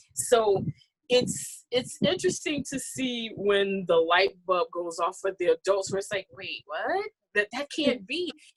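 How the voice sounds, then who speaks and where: A woman speaks at a fairly slow pace with very wide pitch swings. The sound is dry and close, with no echo. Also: medium pitch for a woman. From Mississippi. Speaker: storyteller and performing artist. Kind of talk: interview conversation.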